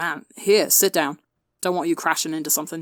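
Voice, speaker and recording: A raspy, put-on character voice at a middle pitch comes through in a very clean recording with a silent background. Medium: read story. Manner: casual, offhand.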